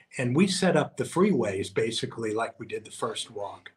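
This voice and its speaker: A somewhat breathy male voice. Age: 60s. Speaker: long-distance walker and author. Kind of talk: interview. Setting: on location at a mansion.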